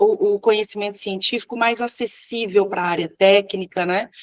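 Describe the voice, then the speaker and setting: A woman is speaking. She keeps a moderate pace. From Minas Gerais, Brazil. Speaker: civil engineer and professor. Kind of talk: interview. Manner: hesitant fillers.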